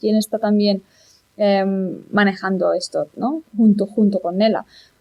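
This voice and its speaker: This is a woman speaking with a fairly high pitch. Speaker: singer-songwriter. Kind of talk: interview.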